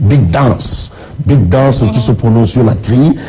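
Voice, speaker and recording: Noticeable background noise is heard throughout. The talking moves along at a moderate pace. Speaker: press review presenter. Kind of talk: TV press review. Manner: repetitive, stammering.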